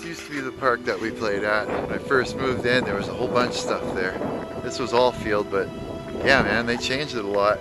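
A man at a fairly quick pace, dry with no echo, over loud background music. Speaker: vlogger. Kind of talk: casual vlog chat. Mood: nostalgic, amused. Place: street. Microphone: phone near.

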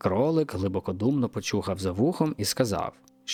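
Lively intonation in an unforced reading voice.

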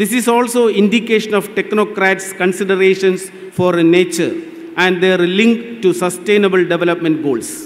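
At a moderate pace, a man with a high voice talks with ordinary pitch variation and very even loudness. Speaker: event host giving welcome address. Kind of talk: formal welcome speech. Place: stage. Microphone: podium.

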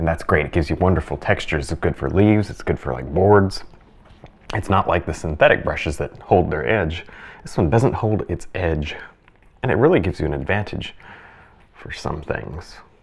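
At a moderate pace, a man with a very deep, low voice speaks with vocal fry and lively intonation. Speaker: painting instructor. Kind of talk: tutorial. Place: studio.

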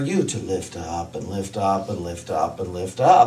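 A man speaks at a fairly slow pace. There is audible echo in the room. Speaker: minister. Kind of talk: sermon. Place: stage.

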